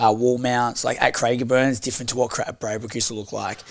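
A man with an Australian accent speaks at a medium pitch in a monotone, flat intonation. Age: 20s. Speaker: professional boxer and gym owner. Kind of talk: casual chat.

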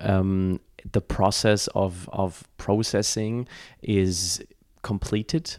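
A fairly low-pitched man's voice in a German accent, dark and mellow in tone, monotone and flat, with a dry, close sound and no echo. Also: very clean recording, silent background. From Germany. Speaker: podcast host. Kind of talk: casual interview. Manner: halting, with many fillers.

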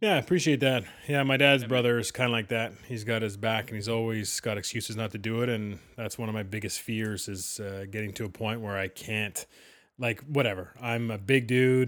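With a Canadian accent and an unremarkable speaking voice, a man speaks at a medium pitch and fairly quick pace with fairly even intonation in a very clean recording with a silent background. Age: 40s. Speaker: sports podcast co-host. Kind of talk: casual chat.

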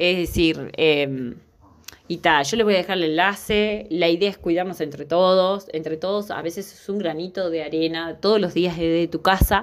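With a Uruguayan accent, a woman speaks at a moderate pace in a fairly low pitch with fairly even intonation. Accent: Uruguayan Rioplatense Spanish. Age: 30s. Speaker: podcast host on workplace safety. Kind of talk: informal educational monologue.

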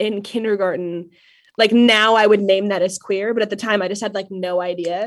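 A woman with a Midwestern US accent speaks at a medium pitch, her intonation fairly even. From western Nebraska. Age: 20s. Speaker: poet and grad student. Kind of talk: casual interview chat.

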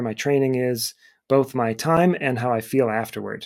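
A man with an American accent and a normal speaking voice talks at a fairly quick pace in a medium pitch. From Cleveland, Ohio. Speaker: running coach and educator. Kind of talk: casual interview.

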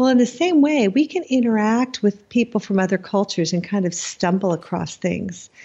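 In an American accent, a woman speaks at a moderate pace and medium pitch. Her voice is somewhat breathy, with lively intonation. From United States. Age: 50s. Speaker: writer. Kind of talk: interview.

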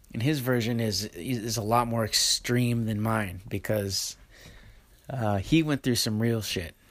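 At a fairly slow pace, a man speaks at a medium pitch with ordinary pitch variation in an ordinary speaking voice. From Oregon coast, US. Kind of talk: casual monologue and interview. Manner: relaxed, casual.

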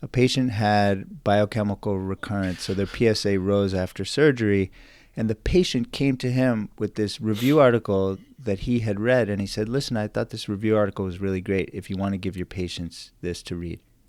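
At a moderate pace, a man with an American accent talks in an ordinary speaking voice, fairly low in pitch with ordinary pitch variation, on a very clean recording with a silent background. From New York suburbs and Canada. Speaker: physician entrepreneur. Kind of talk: interview.

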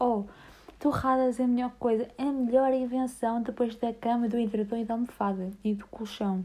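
A woman speaks in a European Portuguese accent at a moderate pace. Her fairly high voice has monotone, flat intonation. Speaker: podcast host. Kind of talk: casual chat.

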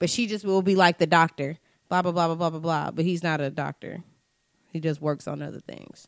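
A woman with an unremarkable speaking voice talks at a fairly quick pace and a fairly low pitch, with fairly even intonation and a dry, close sound with no echo. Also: very clean recording, silent background. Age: 20s. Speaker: podcast co-host. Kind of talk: casual chat.

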